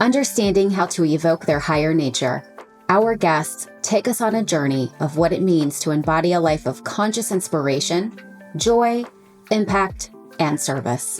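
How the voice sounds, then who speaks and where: A woman's fairly low-pitched voice with lively intonation and very even loudness, over music in the background. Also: moderate pace. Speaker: podcast host, lifestyle coach. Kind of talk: podcast intro.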